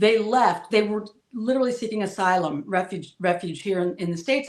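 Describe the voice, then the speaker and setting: With a New Jersey accent, a woman speaks at a fairly quick pace with ordinary pitch variation. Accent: New Jersey American English. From New Jersey, US. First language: Spanish. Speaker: political commentator guest. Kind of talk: interview, personal life story. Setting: live stream video call.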